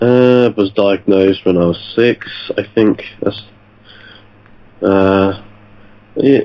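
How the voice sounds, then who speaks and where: Over noticeable background noise, a man with a British accent speaks very slowly in a fairly low pitch, with fairly even intonation, very even loudness, and long, frequent pauses. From UK. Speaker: podcast guest, history graduate. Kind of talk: podcast interview. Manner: halting.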